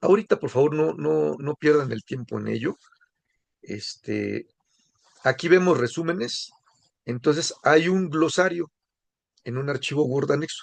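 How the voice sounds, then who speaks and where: A man speaks at a fairly slow pace with long, frequent pauses. The sound is dry and close, without echo. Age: 60s. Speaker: course instructor. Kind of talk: lecture. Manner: casual, conversational.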